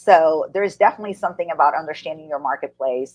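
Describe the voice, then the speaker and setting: A woman with a very deep, low pitch speaks with a Portuguese accent. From Brazil. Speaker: business coach and speaker. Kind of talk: interview.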